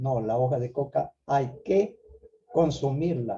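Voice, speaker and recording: A man speaks at a fairly high pitch with ordinary pitch variation. His tone is dark and mellow, and somewhat breathy. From Peru, Ayabaca highlands of Piura. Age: 70s. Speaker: Andean traditional teacher and conference host. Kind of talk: online conference talk. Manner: halting, with many repetitions.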